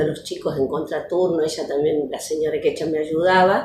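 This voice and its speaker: Audible room echo colors a woman's fairly low, somewhat breathy voice with its dark, mellow tone. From Argentina, Córdoba province (Las Varillas). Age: 60s. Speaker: retired educational psychologist and teacher. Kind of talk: interview testimony. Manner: hesitant, many fillers.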